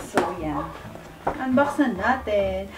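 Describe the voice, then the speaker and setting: Speech comes at a very slow pace, with audible room echo and noticeable background noise. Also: woman. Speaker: vlogger. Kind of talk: unboxing video. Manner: halting.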